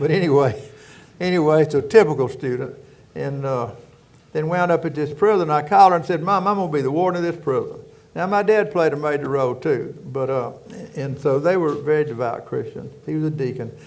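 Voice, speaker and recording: A man with a fairly high pitch and ordinary pitch variation speaks amid audible room echo. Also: fairly quick pace. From rural Louisiana. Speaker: prison warden. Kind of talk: casual chat.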